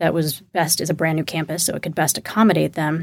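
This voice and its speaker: A woman speaks with an American accent in an unremarkable speaking voice. Her intonation stays fairly even. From Texas, Houston suburbs. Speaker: political strategist. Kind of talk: panel discussion. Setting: studio.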